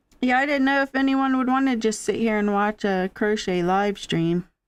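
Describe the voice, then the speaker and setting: A woman's lively intonation at a fairly quick pace. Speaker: crochet live streamer. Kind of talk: casual crochet live stream chat. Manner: loud. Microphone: mic volume good, perfect distance.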